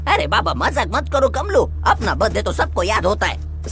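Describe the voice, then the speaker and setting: Clear music plays in the background as a put-on character voice talks at a moderate pace. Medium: fan dub. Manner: brash, slangy.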